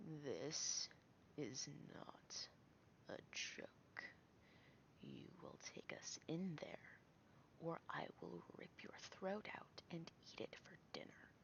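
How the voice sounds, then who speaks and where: A put-on character voice growls and rasps at a middle pitch. It moves at a very slow pace with long, frequent pauses. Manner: menacing, threatening.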